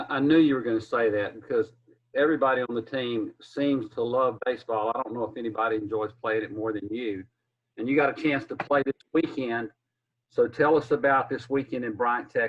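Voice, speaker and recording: Speaking fairly quickly with a Southern US accent, a man keeps a medium pitch and fairly even intonation. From South Carolina. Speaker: sports interviewer. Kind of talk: interview.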